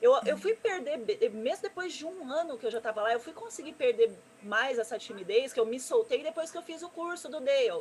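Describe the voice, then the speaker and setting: A woman talks at a fairly quick pace with hardly any pauses, her high pitch swinging very widely. Her loudness rises and falls sharply over noticeable background noise. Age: 30s. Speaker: gamer and streamer, presenter. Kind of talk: interview on live stream. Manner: fast.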